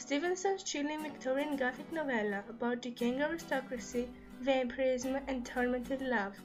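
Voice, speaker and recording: A woman speaks at a moderate pace with a non-native accent, her voice high with ordinary pitch variation. Music plays in the background. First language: non-native English speaker. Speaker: book reviewer. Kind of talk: casual book review to camera.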